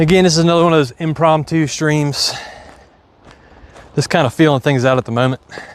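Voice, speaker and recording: A man with an Appalachian accent speaks at a fairly high pitch and a fairly quick pace, with long, frequent pauses. His intonation is fairly even and his loudness very even. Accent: hillbilly twang. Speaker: farmer. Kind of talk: livestream tutorial, casual. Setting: outdoors on farm, live stream. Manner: casual, conversational.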